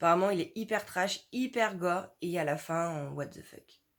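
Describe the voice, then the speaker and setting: At a fairly slow pace, a woman speaks in an animated tone at a medium pitch. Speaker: book YouTuber. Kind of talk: casual vlog talk.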